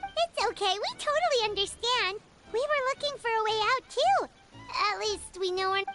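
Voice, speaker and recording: Put-on character voice at an extremely high pitch, faint music in the background. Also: moderate pace. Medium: video game. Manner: chirpy, eager.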